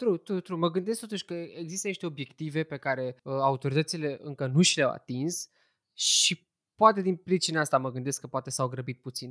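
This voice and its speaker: A man with a fairly high pitch speaks at a moderate pace in an unremarkable speaking voice. The sound is dry and close with no echo, over a quiet background. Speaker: podcast host. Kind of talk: casual chat; news roundup.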